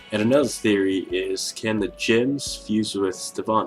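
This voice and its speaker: A man's voice with music in the background. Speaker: YouTuber discussing cartoon theories. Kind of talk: casual talk to camera. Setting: built-in camera microphone.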